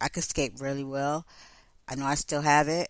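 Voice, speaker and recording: Speaking with an American accent at a moderate pace, a woman uses an animated tone and a very deep, low pitch on a very clean recording with a silent background. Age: 40s. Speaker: podcast host. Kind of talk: casual chat.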